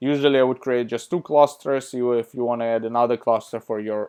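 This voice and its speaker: This is a man with a medium-pitched voice. His intonation stays fairly even. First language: not English. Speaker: tutorial youtuber. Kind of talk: screen-share tutorial. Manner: casual, hesitant with fillers.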